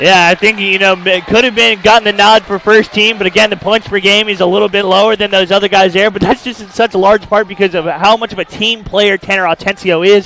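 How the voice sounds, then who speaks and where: A man with a high, raised, projected voice speaks very fast with hardly any pauses, in a monotone, flat intonation. The sound is dry and close with no echo, though noticeable background noise is present. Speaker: color commentator analyst. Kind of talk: basketball color commentary.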